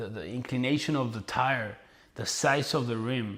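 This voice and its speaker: Speaking at a fairly slow pace, a man with a Spanish accent holds a medium pitch with ordinary pitch variation. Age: 30s. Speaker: entrepreneur and motivational influencer. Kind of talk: casual vlog monologue. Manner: casual, with fillers and repetitions.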